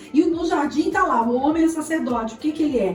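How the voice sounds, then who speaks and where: Lively intonation from a woman at a fairly quick pace, with music in the background. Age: 40s. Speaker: theology seminary director and family therapist. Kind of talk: podcast interview.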